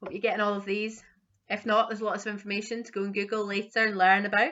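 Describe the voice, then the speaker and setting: Speaking very fast in a Scottish accent, a woman keeps a monotone, flat intonation. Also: medium pitch for a woman, big swings in loudness. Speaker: quiz host. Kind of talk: online quiz reading questions.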